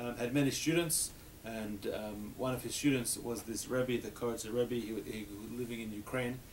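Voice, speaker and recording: At a moderate pace and medium pitch, a man speaks with fairly even intonation amid audible room echo. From Australia. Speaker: rabbi teaching a class. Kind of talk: adult education class discussion.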